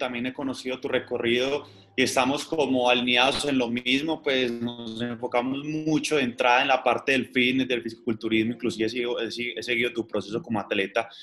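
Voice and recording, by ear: A man's medium-pitched voice with a fairly bright tone, fairly even intonation and a fairly quick pace.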